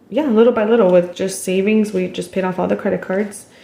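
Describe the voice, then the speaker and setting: A woman speaks at a medium pitch. Noticeable background noise runs underneath. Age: 20s. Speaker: cash budgeter. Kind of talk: cash envelope stuffing video narration.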